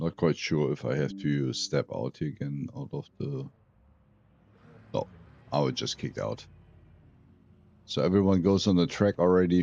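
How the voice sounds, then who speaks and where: Speaking in a German accent at a moderate pace, a man with a very deep, low pitch and a dark, mellow tone uses very wide pitch swings and takes long, frequent pauses. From Germany. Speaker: sim racing streamer. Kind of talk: live stream commentary.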